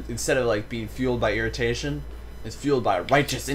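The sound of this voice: Just an unforced reading voice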